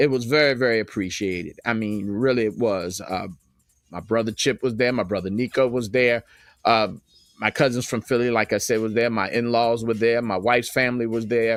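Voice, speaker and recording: Music plays in the background as a man speaks with fairly even intonation. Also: medium pitch for a man, fairly quick pace. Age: 60s. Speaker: livestream host and radio station owner. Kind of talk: casual live stream monologue. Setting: live stream with background music.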